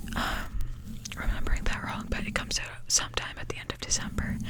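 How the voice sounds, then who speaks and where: A woman whispering at a moderate pace can be heard through noticeable background noise. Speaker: ASMR creator. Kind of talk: whispered ramble about movies, casual talk to camera. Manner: whispered.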